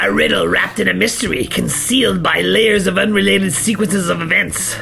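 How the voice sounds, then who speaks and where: A man's cartoonish character voice at a fairly quick pace, with clear background noise. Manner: smug, self-satisfied.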